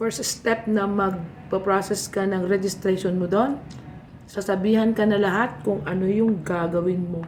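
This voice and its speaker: Over noticeable background noise and audible room echo, a woman with a medium pitch and fairly even intonation speaks at a fairly slow pace. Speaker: vlogger. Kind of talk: casual tutorial vlog while eating.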